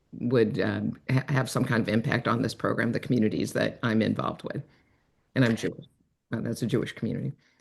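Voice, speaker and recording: A woman with an American accent and a very deep, low pitch, very fast delivery, vocal fry, and ordinary pitch variation. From US Midwest, Rock Island, Illinois. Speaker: retired broadcaster and storyteller. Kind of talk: introductions on a planning video call. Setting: video call.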